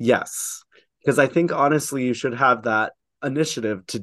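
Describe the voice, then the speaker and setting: An ordinary speaking voice moves at a moderate pace with ordinary pitch variation against a quiet background. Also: man. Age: 20s. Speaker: drag performer. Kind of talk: casual chat.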